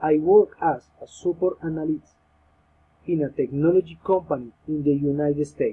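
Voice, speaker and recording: The speaker has a Colombian accent. Delivery is at a moderate pace with fairly even intonation. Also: man, fairly high pitch for a man. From Colombia, Bogota. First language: Spanish. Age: 30s. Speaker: language student. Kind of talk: class presentation, reading prepared text. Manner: halting.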